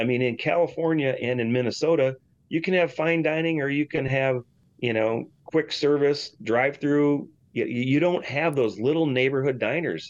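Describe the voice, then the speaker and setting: Spoken at a moderate pace with an ordinary pitch variation, the voice comes in a Michigan accent. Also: man. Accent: Michigan (Inland North) American. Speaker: restaurant and hotel owner. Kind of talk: interview. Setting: studio.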